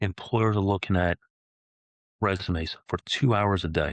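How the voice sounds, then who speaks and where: This man has an unremarkable speaking voice, fairly low in pitch, delivered at a moderate pace. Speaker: career transition specialist. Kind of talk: tutorial.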